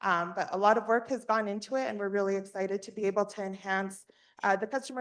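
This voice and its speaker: The speaker has a normal speaking voice and talks at a fairly quick pace. Intonation stays fairly even over a quiet background. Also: woman. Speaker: state workforce agency staff presenter. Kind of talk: board meeting presentation. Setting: in-person and virtual meeting.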